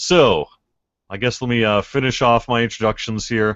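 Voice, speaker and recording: A man's fairly low-pitched voice moves at a moderate pace. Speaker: podcast debate moderator. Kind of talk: casual chat.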